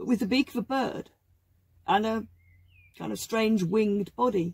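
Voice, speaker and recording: A woman speaks at a moderate pace, her voice somewhat breathy. The sound is dry, with no echo. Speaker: craft demonstrator. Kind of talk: tutorial. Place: workshop.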